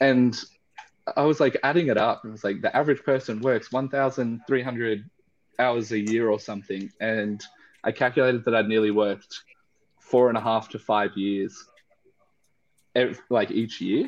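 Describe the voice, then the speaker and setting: A man with an Australian accent speaks in a medium pitch at a moderate pace. He leaves long, frequent pauses, and his intonation stays fairly even. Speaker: spirits distillery founder. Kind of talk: casual chat.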